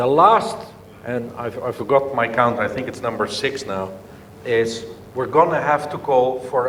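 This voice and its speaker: A man with a medium-pitched voice speaks at a moderate pace with lively intonation. Room echo and noticeable background noise are both audible. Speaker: business leader. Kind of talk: conference speech. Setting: conference session with audience.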